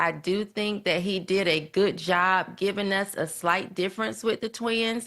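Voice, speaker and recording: A woman speaks at medium pitch with a Southern US accent and ordinary pitch variation. Her pace is fairly slow, against a quiet background. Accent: Southern country. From US South. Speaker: podcast guest commentator. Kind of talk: casual chat.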